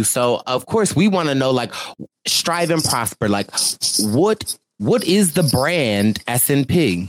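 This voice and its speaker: Over a fairly slow pace, a man with an American accent swings his pitch very widely while keeping his loudness very even. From Philadelphia. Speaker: podcast host. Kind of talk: interview; casual chat.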